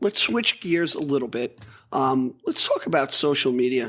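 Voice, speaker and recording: Putting on a squeaky, raspy character voice, a man speaks at a medium pitch and a moderate pace with lively intonation. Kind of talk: casual, conversational.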